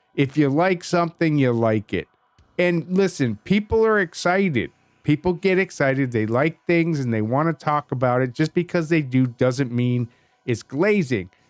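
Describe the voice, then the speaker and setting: A man talks at a moderate pace in a fairly high pitch, his tone animated and his intonation lively. Music plays in the background. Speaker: gaming youtuber. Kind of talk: casual commentary.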